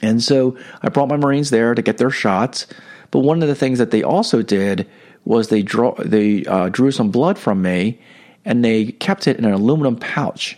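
A man speaks in a normal speaking voice at a medium pitch and a moderate pace. His intonation is lively, and his loudness stays very even. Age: 50s. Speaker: podcast host and spiritual coach. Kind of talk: religious reflection monologue. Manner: casual with many fillers.

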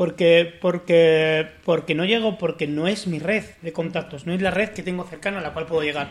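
Delivered at a moderate pace with hardly any pauses, the speech has fairly even intonation in a La Mancha accent. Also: man, high pitch for a man. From Spain, La Mancha. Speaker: podcast host. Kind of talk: casual chat.

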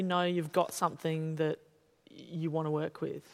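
This woman speaks with an Australian accent. The recording is very clean, with a silent background. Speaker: journalist interviewer and playwright. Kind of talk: onstage interview conversation. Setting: stage with audience.

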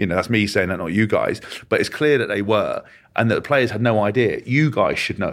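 A man talks at a very fast pace with an English accent. The recording is very clean, with a silent background. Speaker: former rugby player and podcast co-host. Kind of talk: interview.

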